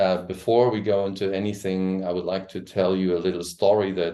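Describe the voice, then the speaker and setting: In a German accent, a man speaks with a very deep, low pitch. His tone is dark and mellow, at a moderate pace. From Germany. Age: 60s. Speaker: coach and trainer. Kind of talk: presentation. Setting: live stream. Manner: halting.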